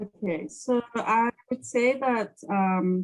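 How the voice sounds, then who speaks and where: This woman speaks with a South African accent. Her pitch moves in an ordinary way. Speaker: sales account executive. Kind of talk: interview. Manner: hesitant with many fillers.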